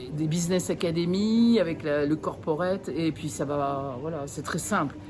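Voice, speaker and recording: With a very deep, low pitch, a woman speaks at a fairly slow pace using lively intonation. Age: 60s. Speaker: network marketing distributor. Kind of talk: testimony. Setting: event. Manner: animated; halting.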